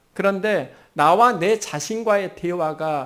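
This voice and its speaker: The recording is very clean with a silent background as a man talks in a high register. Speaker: pastor. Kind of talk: sermon. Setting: church.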